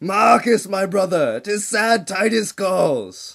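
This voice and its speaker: A man in a put-on character voice talks at a very slow pace in a high voice with ordinary pitch variation. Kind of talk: Shakespearean stage tragedy. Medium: stage play. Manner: declamatory.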